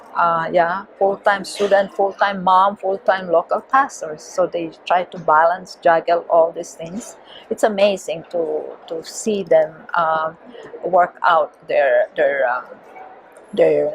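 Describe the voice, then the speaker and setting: There is noticeable background noise as a woman talks very slowly at a medium pitch. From Philippines. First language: Filipino. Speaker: missionary and theology teacher. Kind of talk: interview. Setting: conference. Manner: halting.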